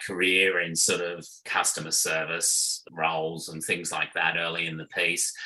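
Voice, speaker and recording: With an Australian accent, a man of very deep, low pitch speaks at a fairly slow pace over noticeable background noise. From Australia, Sydney. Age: 60s. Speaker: restaurant owner and marketing executive. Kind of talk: interview chat. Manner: casual, many fillers.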